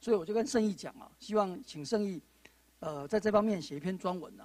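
A man talks at a fairly quick pace with ordinary pitch variation. The sound is dry, with no echo. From Taiwan. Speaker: panel moderator, judge and law lecturer; panel moderator, judge, law lecturer. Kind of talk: panel moderation. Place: studio. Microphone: handheld.

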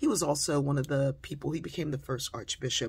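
This is a woman's voice, somewhat breathy. Her pitch is very deep and low. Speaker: inspirational speaker and author. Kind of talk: storytelling monologue. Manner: conversational with frequent fillers. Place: home room. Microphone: phone near.

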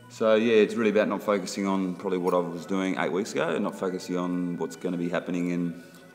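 A man speaks very fast with a very deep, low pitch and fairly even intonation. Faint music plays in the background. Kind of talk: casual vlog chat. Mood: reflective, slightly frustrated. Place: gym. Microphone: phone near.

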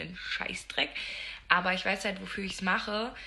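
With faint background noise behind her, a woman talks at a fairly quick pace in a bright, sharp tone with a medium pitch, vocal fry and little pitch movement.

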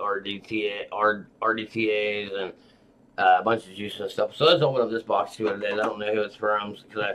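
Over light background noise, an unremarkable speaking voice moves at a moderate pace. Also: man. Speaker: vape channel host. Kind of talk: casual vlog chat. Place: home room. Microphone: webcam.

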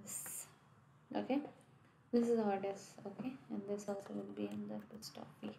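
Soft-spoken with big swings in loudness, a woman leaves long, frequent pauses amid audible room echo. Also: moderate pace. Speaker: software testing tutor. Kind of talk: screen-share coding tutorial. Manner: halting.

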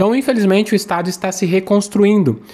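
A man's high-pitched voice at a fairly quick pace. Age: 40s. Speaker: civil-service exam coach and news presenter; civil-service exam coach, news presenter. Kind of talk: daily news monologue to camera. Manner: animated. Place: home room. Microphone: studio mic.

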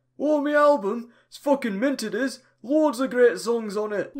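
Using a put-on character voice in a rural English accent, the speaker keeps a moderate pace. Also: man, extremely high pitch for a man. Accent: broad rural English, "innit", "me album". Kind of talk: comic parody voice acting. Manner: chatty, boastful, easygoing.

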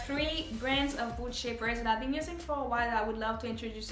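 Over light background noise and audible room echo, a woman speaks in a high pitch with ordinary pitch variation. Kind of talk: product review vlog. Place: home room. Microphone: camera far.

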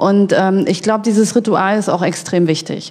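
A woman with a dark, mellow tone and medium pitch talks at a moderate pace. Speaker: press spokesperson for online voting company. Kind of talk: panel discussion.

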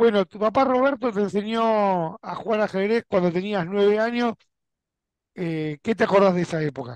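A man with an Argentine accent and a high pitch talks at a moderate pace with ordinary pitch variation, the sound dry with no echo and the background quiet. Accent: Argentine Spanish (Rioplatense). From Argentina. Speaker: YouTube chess channel host; interviewer, chess show host. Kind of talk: interview. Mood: friendly, cheerful. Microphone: headset.

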